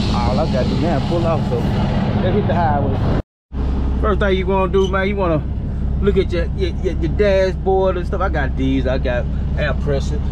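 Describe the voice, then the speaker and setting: A man speaks at a moderate pace with a very deep, low pitch and hardly any pauses. His loudness stays very even and his intonation is flat and monotone, with loud background noise behind him. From northern Louisiana. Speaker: farmer and vlogger; vlogger. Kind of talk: casual vlog narration. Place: open country. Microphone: phone near.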